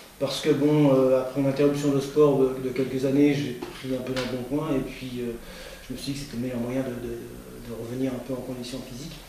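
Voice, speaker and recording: Noticeable background noise and audible room echo accompany a man speaking at a fairly quick pace in a monotone, flat intonation. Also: medium pitch for a man. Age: 60s. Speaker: amateur cyclist, club secretary. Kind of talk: interview. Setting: at his home. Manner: halting, many hesitations and repetitions.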